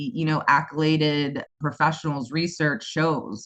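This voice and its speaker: Here is a woman with a US East Coast accent. Her tone is animated and her pace moderate. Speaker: special education school founder. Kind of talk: interview.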